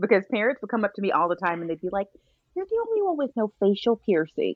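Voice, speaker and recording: With an American accent, a woman talks at a very fast pace, her medium-pitched voice full of lively intonation. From Texas, Arlington. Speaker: realtor and trained chef. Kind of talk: casual chat.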